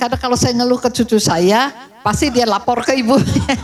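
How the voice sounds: A woman's slightly mellow voice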